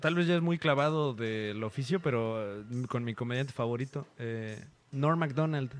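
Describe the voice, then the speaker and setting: A man with an unremarkable speaking voice, medium pitch, ordinary pitch variation and a fairly slow pace. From Mexico. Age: 30s. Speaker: stand-up comedian. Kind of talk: casual chat. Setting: hotel room.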